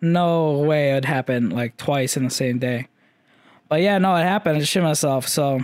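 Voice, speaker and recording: On a very clean recording with a silent background, a man talks at a moderate pace with a fairly high pitch. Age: 20s. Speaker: podcast host recovering from eye surgery. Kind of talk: casual solo update, rambling personal story. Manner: casual, rambling, candid.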